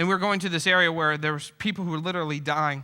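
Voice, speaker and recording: A man talks at a very fast pace with a bright, sharp tone. His pitch is high, with ordinary pitch variation. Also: very clean recording, silent background. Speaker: pastor. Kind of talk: speaking reel, sermon-style storytelling to an audience. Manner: humorous, conversational.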